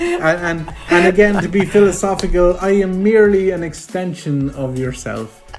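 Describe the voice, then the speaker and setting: A man with a rural Irish accent talks high for a man at a moderate pace, with ordinary pitch variation and hardly any pauses. Music plays in the background. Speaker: filmmaker. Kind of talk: interview. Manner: stammering repetitions.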